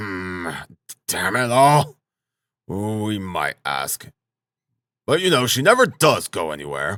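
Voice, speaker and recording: A man's put-on character voice, fairly low in pitch, with very wide pitch swings, a fairly slow pace and long, frequent pauses. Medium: read story. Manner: blustering, cursing.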